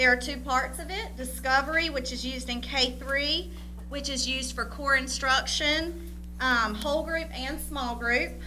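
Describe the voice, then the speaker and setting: A woman's moderately paced voice is mixed with noticeable background noise and audible room echo. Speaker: school district curriculum director. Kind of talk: presentation at school board meeting. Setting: board meeting.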